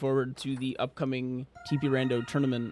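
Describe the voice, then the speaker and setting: A man's relaxed, medium-pitched tone. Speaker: gaming streamer. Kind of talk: live gameplay commentary. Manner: quiet, low-key; casual, relaxed.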